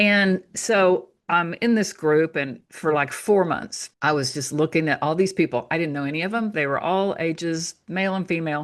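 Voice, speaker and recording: Speaking in an ordinary speaking voice, a woman with a fairly low pitch and ordinary pitch variation talks at a moderate pace with hardly any pauses against a quiet background. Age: 60s. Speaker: author and natural health teacher. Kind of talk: casual interview chat. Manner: conversational, with frequent fillers.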